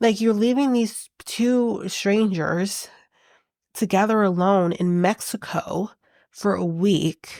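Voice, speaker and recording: A woman at a very slow pace and very even loudness, on a very clean recording with a silent background. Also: medium pitch for a woman, ordinary pitch variation. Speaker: reality TV recap podcaster. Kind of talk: casual chat. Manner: animated.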